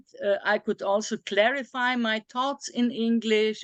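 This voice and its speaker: A woman with a non-native accent speaks at a fairly slow pace and fairly high pitch. Her intonation is lively, and the sound is dry and close with no echo. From small European country. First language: not English. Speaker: philosopher of Chinese philosophy. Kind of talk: academic discussion. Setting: video call. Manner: halting, many fillers.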